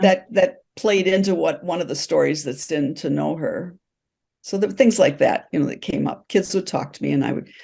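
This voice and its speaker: A woman with a dark, mellow tone and vocal fry speaks at a moderate pace in a fairly low pitch, with very wide pitch swings. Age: 70s. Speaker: novelist, retired teacher. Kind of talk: interview answer.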